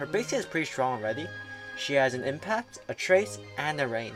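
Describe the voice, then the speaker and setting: A moderate pace carries the speech while music plays behind it. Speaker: gaming YouTuber. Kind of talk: casual game guide commentary.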